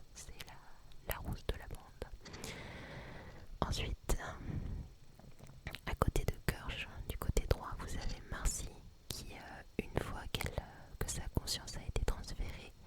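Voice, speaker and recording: Her loudness rising and falling sharply, a woman whispers very slowly, with long pauses coming often against noticeable background noise. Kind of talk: ASMR series review. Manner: whispered.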